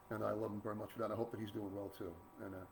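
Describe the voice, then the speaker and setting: With an American accent, a man talks at a very fast pace over noticeable background noise. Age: 60s. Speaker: blues guitarist. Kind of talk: casual talk to online audience. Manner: rambling with fillers, repetitive.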